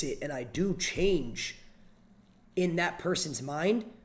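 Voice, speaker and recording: At a very slow pace, a man with an American accent talks in a fairly high pitch. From Pennsylvania, US (Erie). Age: 20s. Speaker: streamer. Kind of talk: therapy session on livestream.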